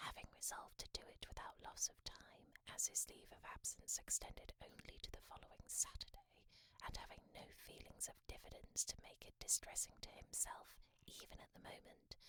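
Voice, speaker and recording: Someone whispers at a moderate pace. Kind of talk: audiobook reading. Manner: whispered.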